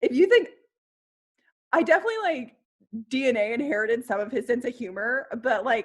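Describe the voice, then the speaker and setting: Speech with a slight Kentucky accent moves in very wide pitch swings with an animated tone. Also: woman. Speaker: historical costumer, video creator. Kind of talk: casual chat.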